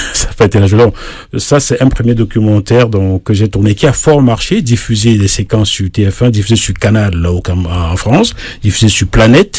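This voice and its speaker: With noticeable noise behind it, the talking proceeds at a moderate speed and shifts in pitch in an ordinary way. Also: man, fairly low pitch for a man. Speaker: singer-songwriter and journalist. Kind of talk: radio interview. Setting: radio studio. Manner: hesitant fillers.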